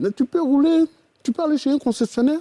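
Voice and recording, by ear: Delivered at a fast pace, the voice has a dark, mellow tone, ordinary pitch variation, and a dry, close sound with no echo.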